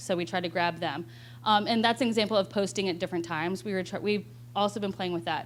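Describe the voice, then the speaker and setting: A woman speaks at a very fast pace in a medium pitch, with very wide pitch swings and vocal fry. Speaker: web video producer. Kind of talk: panel talk.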